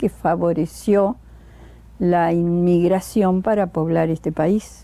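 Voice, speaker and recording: At a very slow pace, a woman speaks in a dark, mellow tone with fairly even intonation. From Argentina, Entre Ríos (Nogoyá). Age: 80s+. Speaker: retired teacher, local elder. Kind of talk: oral history interview.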